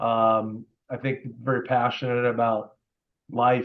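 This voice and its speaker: A man with a Midwestern US accent. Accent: US Midwest. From Indiana, US Midwest. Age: 60s. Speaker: car dealer. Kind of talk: interview.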